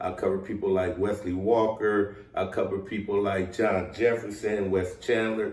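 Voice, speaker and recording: In a room with audible echo, a man speaks at a moderate pace in a somewhat breathy, fairly low voice with fairly even intonation. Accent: American. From US West Coast, Southeast San Diego. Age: 60s. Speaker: former pro football player. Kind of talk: interview.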